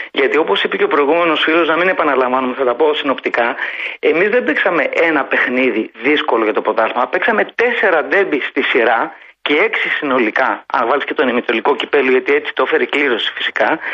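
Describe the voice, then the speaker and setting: Lively in intonation and very even in loudness, the speech moves at a fairly quick pace over noticeable background noise. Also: man, fairly high pitch for a man. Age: 50s. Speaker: sports radio caller, engineer. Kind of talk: phone-in football discussion. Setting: phone call.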